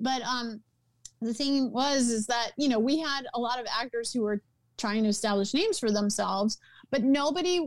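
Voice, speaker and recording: Speaking with an American accent, a woman with a high pitch talks at a moderate pace with ordinary pitch variation. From US South, New Orleans. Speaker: entertainment producer and writer. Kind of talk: interview conversation.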